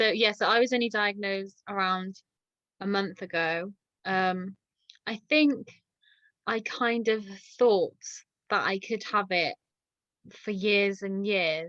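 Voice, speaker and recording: A woman with an English accent speaks at a very slow pace in a medium pitch, her bright, sharp tone held to fairly even intonation and broken by long, frequent pauses. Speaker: dog walker. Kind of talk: casual chat. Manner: halting.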